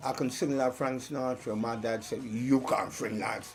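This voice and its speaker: Music plays behind a man speaking at a moderate pace and medium pitch. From Trinidad and Tobago, then South London. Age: 70s. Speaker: soul singer. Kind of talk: interview testimony.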